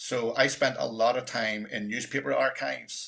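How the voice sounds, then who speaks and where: A man speaks with a Northern Irish accent. His tone is bright and sharp. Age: 60s. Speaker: documentary filmmaker. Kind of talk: panel presentation.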